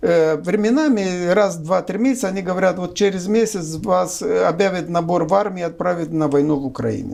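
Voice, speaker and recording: In a Romanian accent, a man talks at a high pitch with ordinary pitch variation. He keeps a moderate pace with hardly any pauses. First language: Romanian (speaking Russian). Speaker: political analyst. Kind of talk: political discussion interview. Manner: hesitant, with filler sounds.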